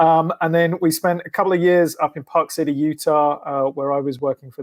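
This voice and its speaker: The sound is dry and close, with no echo. A man with an English accent talks at a fairly quick pace with fairly even intonation. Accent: English accent, often mistaken for Australian. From England. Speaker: sports team public relations executive. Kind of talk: podcast interview. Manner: hesitant, many fillers.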